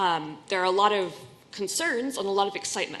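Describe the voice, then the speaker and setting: Using an American accent, a woman talks at a fairly quick pace with ordinary pitch variation. Audible room echo surrounds her voice. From US Northeast, Boston. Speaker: user experience researcher. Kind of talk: conference talk.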